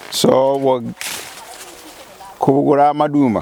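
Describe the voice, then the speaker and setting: A man with a Kenyan accent talks at a fairly slow pace in a fairly high pitch, with ordinary pitch variation. Noticeable background noise runs behind him. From Kenya, Maragoli, Vihiga. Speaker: university professor. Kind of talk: interview answer. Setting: outdoors.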